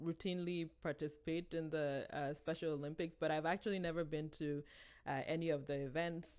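Against a quiet background, a woman with an unremarkable speaking voice talks at a moderate pace in a fairly low pitch. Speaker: podcast host. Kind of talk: casual interview. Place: home room.

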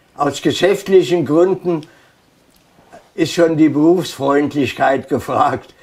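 Very slow pace, fairly even intonation and long, frequent pauses. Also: man, fairly high pitch for a man. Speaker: contemporary witness. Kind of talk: interview answer. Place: home room. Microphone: lapel.

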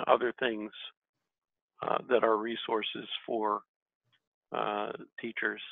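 A man talks at a fairly slow pace, with a dry sound with no echo and a quiet background. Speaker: religious educator. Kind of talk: group discussion. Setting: video call. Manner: halting. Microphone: video call.

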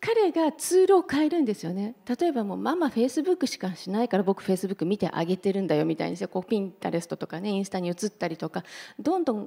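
A woman talks at a very fast pace in a dark, mellow tone. Her pitch swings very widely. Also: quiet background. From Japan, Hiroshima; Japan. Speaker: entrepreneur; panelist. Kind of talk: panel discussion. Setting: stage with audience. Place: hall. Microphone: handheld.

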